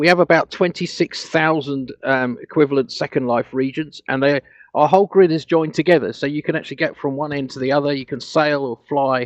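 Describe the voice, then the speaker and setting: A man with a British accent at a fairly quick pace, his intonation fairly even, the sound dry and close with no echo. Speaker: grid owner and programmer presenting at a conference. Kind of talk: conference presentation. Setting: online conference with live audio. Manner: fast; halting, many fillers and restarts.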